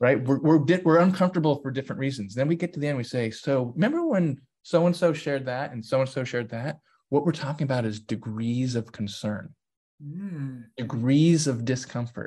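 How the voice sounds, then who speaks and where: A man speaks at a fairly quick pace, his voice somewhat breathy with a dark, mellow tone. His pitch is fairly high and varies in an ordinary way. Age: 40s. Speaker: DEI consultant and author. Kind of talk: interview conversation.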